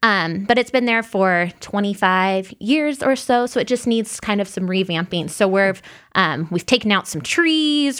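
An unremarkable speaking voice with an American accent moves at a fairly slow pace with lively intonation, on a very clean recording with a silent background. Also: woman. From Illinois. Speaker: master gardener volunteer. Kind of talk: radio interview. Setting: studio.

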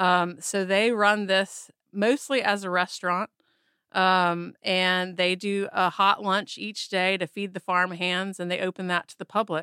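A woman's medium-pitched voice in a Southern US accent, bright and sharp in tone, monotone and flat in intonation, at a fairly slow pace with big swings in loudness, on a very clean recording with a silent background and a dry, close sound with no echo. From Mississippi. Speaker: photographer and author. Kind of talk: interview.

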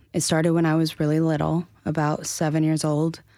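In an American accent, a woman speaks with a very deep, low pitch and a dark, mellow tone. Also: very clean recording, silent background. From North Carolina, Asheville. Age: 20s. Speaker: actress and survivor advocate. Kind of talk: testimony.

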